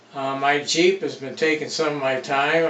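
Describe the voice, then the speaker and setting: A man with an American accent, fairly high pitch, fairly even intonation and a fairly slow pace, with noticeable background noise. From Detroit, Michigan. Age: 70s. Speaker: retired machine repairman and hydraulics mechanic. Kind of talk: casual self-introduction vlog. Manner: casual, with many filler uhs.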